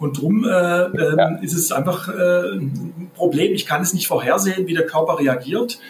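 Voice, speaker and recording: A man's high voice with ordinary pitch variation, music playing in the background. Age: 50s. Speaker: crime prevention officer. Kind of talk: podcast interview. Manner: halting, many repetitions and fillers.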